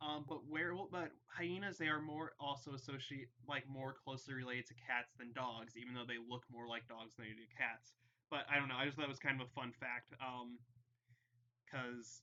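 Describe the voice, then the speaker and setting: At a moderate pace, a man speaks at a medium pitch in a bright, sharp tone with fairly even intonation. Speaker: cryptid and paranormal YouTuber. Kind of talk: casual live stream talk. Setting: live stream. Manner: halting, stuttering, many fillers.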